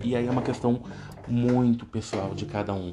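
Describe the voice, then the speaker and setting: With noticeable background noise present, the man's fairly low voice shows ordinary pitch variation. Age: 30s. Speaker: psychology student and podcaster. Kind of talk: solo presentation monologue.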